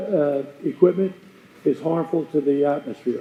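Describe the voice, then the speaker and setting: A man at a moderate pace, with ordinary pitch variation, over noticeable background noise. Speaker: resident speaking at public comment. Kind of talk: public comment. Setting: county board meeting room with audience. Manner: loud.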